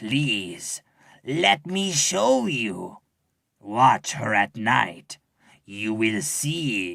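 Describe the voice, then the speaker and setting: A man's put-on character voice, growling at medium pitch, with very wide pitch swings and a very slow pace. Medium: read story. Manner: suspicious, insistent.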